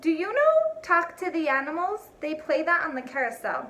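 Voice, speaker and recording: A woman does a put-on character voice at an extremely high pitch, with ordinary pitch variation and a moderate pace. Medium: read story. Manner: teasing, cheeky.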